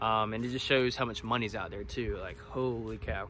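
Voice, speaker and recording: Light background noise accompanies a man's voice. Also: dry sound with no echo. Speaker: woodyard owner vlogger. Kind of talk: casual vlog chat. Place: forest. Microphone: phone near.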